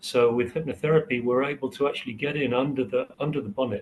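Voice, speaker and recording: A somewhat breathy man at medium pitch and moderate pace, with ordinary pitch variation. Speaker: hypnotherapy trainer. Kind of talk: interview. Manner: hesitant, many fillers.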